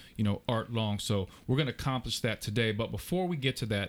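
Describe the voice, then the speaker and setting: Music plays in the background as a man speaks. His pitch is medium, with ordinary pitch variation. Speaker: podcast host, former college basketball player. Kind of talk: casual interview. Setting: in person. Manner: animated.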